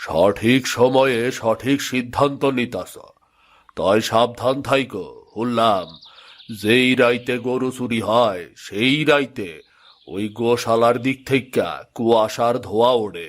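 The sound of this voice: A cartoonish character voice from a man, medium in pitch with ordinary variation, at a very slow pace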